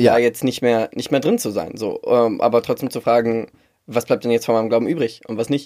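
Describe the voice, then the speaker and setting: The speech moves at a fairly quick pace. It is a very clean recording with a silent background. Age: 30s. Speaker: podcast co-host, corporate communication consultant. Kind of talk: casual chat.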